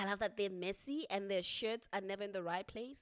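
With an unremarkable speaking voice, a woman talks at a medium pitch and a moderate pace, using ordinary pitch variation. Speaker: podcast host. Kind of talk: casual interview conversation. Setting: virtual recording, video call.

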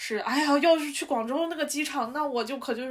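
A woman speaks with a high pitch and fairly even intonation. Her pace is fairly quick. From Shanxi. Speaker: podcast co-host. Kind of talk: casual chat.

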